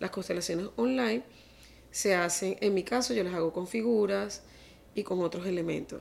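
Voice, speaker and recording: With an unremarkable speaking voice, a woman talks at a moderate pace, her fairly low pitch carrying lively intonation. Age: 50s. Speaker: family constellation therapist. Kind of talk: interview.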